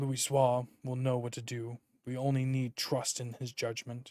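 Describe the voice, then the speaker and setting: Doing a put-on character voice, a man talks at a moderate pace. His medium pitch stays monotone and flat. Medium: game stream. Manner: earnest, formal.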